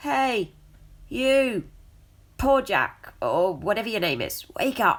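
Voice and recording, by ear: In a put-on character voice, a female-sounding speaker goes gravelly and fairly high, moving at a very slow pace with long, frequent pauses.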